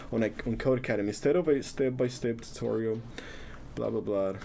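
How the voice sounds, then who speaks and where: A man speaks at a medium pitch with a Spanish accent and a dark, mellow tone. His pace is fairly quick, and his pitch varies in an ordinary way. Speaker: coding live streamer. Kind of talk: live coding stream, casual. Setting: live stream. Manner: casual, halting with repetitions.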